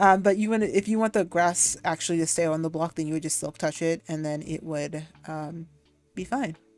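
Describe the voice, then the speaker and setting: A woman's fairly low-pitched voice over music in the background. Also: ordinary pitch variation, fairly quick pace. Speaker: video game streamer. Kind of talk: live game commentary. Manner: fast; filler-heavy, hesitant.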